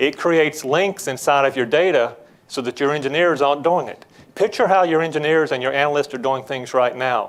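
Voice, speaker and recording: A man with a Southern US accent talks at a fairly high pitch. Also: ordinary pitch variation. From Georgia, US South. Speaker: business development executive. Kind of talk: tech presentation. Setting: conference breakout stage with audience.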